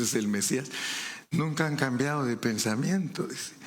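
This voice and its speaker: Audible room echo around a man speaking at a fairly slow pace. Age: 70s. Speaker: preacher. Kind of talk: sermon.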